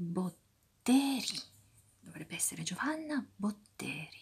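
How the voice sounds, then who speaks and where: A very slow pace, soft-spoken throughout. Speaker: ASMR creator. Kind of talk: soft-spoken ASMR crossword commentary. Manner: soft-spoken ASMR murmur.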